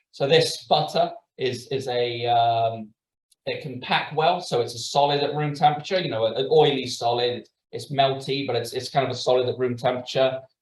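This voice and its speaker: This man's voice is somewhat breathy, and his pitch varies in an ordinary way. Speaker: biochemistry lecturer. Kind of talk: lecture. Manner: fast; halting, many fillers.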